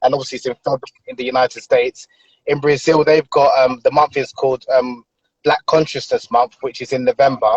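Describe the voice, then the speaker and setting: With a British accent, a man talks. He moves at a fairly quick pace. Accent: UK. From London, UK (Nigerian family). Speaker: author. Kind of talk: interview conversation. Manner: hesitant, many filler ums.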